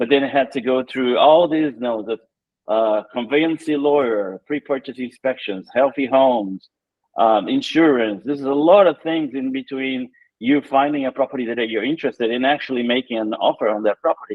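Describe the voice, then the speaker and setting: Speaking with a Brazilian accent, a man uses ordinary pitch variation. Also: medium pitch for a man, moderate pace. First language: Portuguese. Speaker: tech entrepreneur. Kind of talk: interview.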